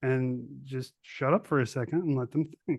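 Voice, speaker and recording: With a normal speaking voice, a man talks at a fairly high pitch and fairly even intonation. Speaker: podcast host, army veteran. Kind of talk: casual interview chat.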